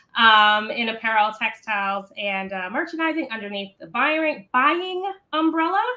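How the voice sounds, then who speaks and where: A bubbly woman's voice, fairly high, at a moderate pace with hardly any pauses, very wide pitch swings and big swings in loudness. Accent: slight Maryland. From Maryland, US East Coast. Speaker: founder of a children's reading organization. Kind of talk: interview.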